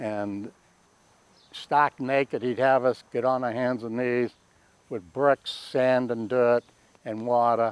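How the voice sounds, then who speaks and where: With a Boston accent, a man speaks at a fairly slow pace in a medium pitch and flat monotone, taking long, frequent pauses, in a dry, close recording with no echo. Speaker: war veteran. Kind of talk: oral history interview. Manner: halting.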